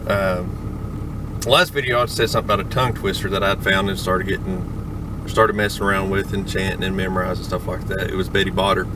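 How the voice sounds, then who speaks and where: Over noticeable background noise, a speaker with a Southern US accent talks at a fairly quick pace in a monotone, flat intonation. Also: man, fairly low pitch for a man, hardly any pauses. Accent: Southern US country. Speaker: auctioneer learner. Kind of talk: casual talk to camera. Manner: hesitant, rambling.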